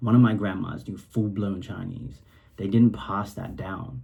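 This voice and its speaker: Fairly slow and low-pitched, a man speaks with vocal fry, ordinary pitch variation, and a dark, mellow tone. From Singapore, Eurasian upbringing. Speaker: rapper. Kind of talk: casual track commentary. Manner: animated, casual with many fillers.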